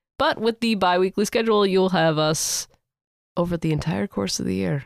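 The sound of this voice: With vocal fry, a woman talks at a moderate pace and a fairly low pitch, her pitch varying in an ordinary way.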